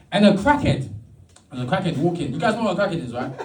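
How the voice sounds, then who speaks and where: Amid audible room echo, a man's high-pitched voice swings very widely in pitch. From London (Brixton). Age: 30s. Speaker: stand-up comedian. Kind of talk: stand-up. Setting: stage with audience. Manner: halting, repeated words.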